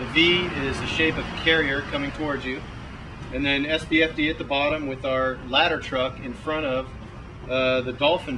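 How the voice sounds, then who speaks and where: Amid audible room echo and noticeable background noise, a man with an American accent speaks at a moderate pace in a fairly high pitch with monotone, flat intonation. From California (Santa Barbara). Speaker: firefighter. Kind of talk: interview.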